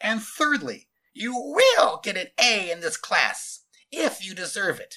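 Putting on a character voice, a man speaks at a slow pace with a high pitch, very wide pitch swings and a bright, sharp tone.

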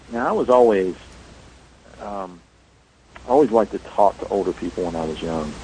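A man with an American accent talks at a fairly quick pace, his fairly low voice showing ordinary pitch variation. Long, frequent pauses break up his speech amid noticeable background noise. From US South, rural North Carolina. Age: 40s. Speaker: paranormal investigator and author. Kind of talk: interview.

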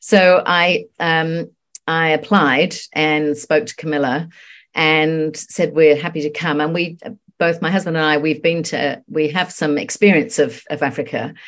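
A woman talks at a fairly slow pace in a very deep, low voice. Her intonation is fairly even, and the background is quiet. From England. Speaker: homeopath. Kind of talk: casual chat.

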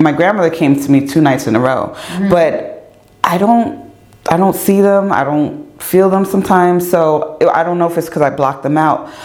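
The loudness stays very even at a moderate pace. Noticeable background noise and audible room echo fill the recording. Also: woman, fairly low pitch for a woman, ordinary pitch variation. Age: 40s. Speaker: podcast host and radio host. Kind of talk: casual interview chat. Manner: animated.

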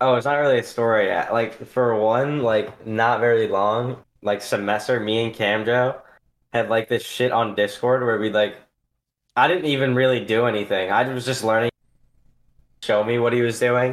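A man with a plain, everyday voice speaks at a moderate pace, his medium pitch carried in fairly even intonation. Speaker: podcast host. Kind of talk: casual chat.

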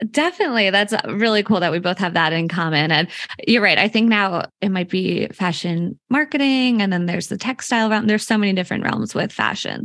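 A woman speaks in an unremarkable speaking voice at medium pitch, with ordinary pitch variation, a fairly quick pace and hardly any pauses. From Philadelphia area, Pennsylvania. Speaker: publicist and podcast host. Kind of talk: casual interview chat.

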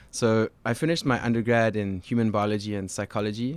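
Speaking fairly quickly in a fairly low pitch, a man with a South African accent is heard in a very clean recording with a silent background. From South Africa, Cape Town. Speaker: genetics researcher and former swim coach. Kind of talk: podcast interview.

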